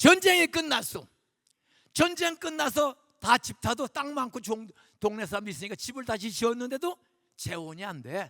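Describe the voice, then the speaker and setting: A man's raised, projected voice, bright, sharp and animated, with very wide pitch swings at a moderate pace in a dry, close sound with no echo. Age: 70s. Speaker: guest pastor. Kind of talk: sermon. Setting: church. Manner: animated, conversational.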